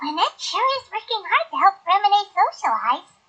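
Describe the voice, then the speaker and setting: Using a put-on character voice, a woman talks at a moderate pace in an extremely high, squeaky pitch with lively intonation. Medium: video game. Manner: deadpan, understated.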